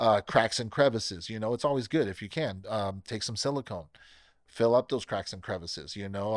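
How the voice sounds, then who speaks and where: With an ordinary speaking voice at medium pitch, a man talks at a fairly quick pace on a very clean recording with a silent background. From US West Coast, Bakersfield, California. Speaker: pest control technician. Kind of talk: casual interview.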